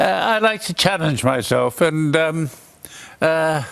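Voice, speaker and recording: A man with an Australian accent, fairly high in pitch and fairly slow in pace. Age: 80s+. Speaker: tennis player and war veteran. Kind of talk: TV interview. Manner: halting.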